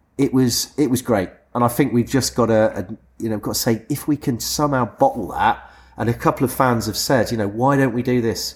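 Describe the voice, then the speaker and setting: Speaking at a fairly quick pace, a man uses a medium pitch with vocal fry and fairly even intonation. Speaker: podcast host. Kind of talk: casual chat. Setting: pub taproom.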